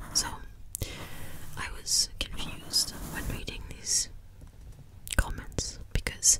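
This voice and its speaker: A woman whispers in a gentle tone at a very slow pace, with long, frequent pauses over noticeable background noise. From Wales. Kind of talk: ASMR whispered ramble. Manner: whispered, soft, gentle.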